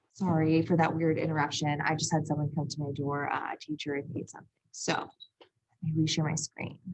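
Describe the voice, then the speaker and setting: A woman's very deep, low, somewhat breathy voice, monotone and flat, at a fairly quick pace with hardly any pauses. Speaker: math teacher. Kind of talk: lecture.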